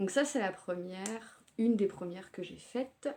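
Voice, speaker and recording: A woman speaks in a medium pitch with ordinary pitch variation, her tone dark and mellow and somewhat breathy. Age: 30s. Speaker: knitting podcaster. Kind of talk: casual show-and-tell podcast. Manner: hesitant with frequent fillers.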